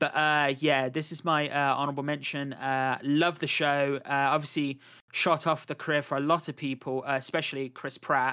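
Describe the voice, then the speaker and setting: In a British accent, a man speaks with a bright, sharp tone at fairly high pitch, using monotone, flat intonation at a moderate pace. The recording is very clean, with a silent background. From Britain. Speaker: podcast host. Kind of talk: casual chat.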